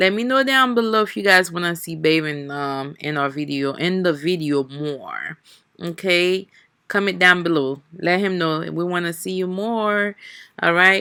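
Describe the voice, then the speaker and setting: Speaking fairly slowly with a non-native accent, a woman has a fairly low pitch, a bright, sharp tone and lively intonation. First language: not English. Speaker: family vlogger. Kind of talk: cooking vlog. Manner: casual, chatty.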